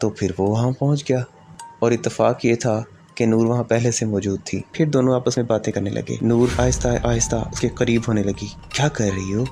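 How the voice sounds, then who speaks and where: There is music in the background as a man talks at a medium pitch. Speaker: storyteller / channel host. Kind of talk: horror story narration.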